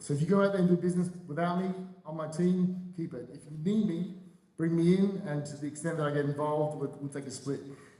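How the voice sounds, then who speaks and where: With audible room echo and noticeable background noise, a man speaks at a very fast pace in a fairly high pitch and fairly even intonation. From Australia (Adelaide). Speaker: real estate broker. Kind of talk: panel discussion.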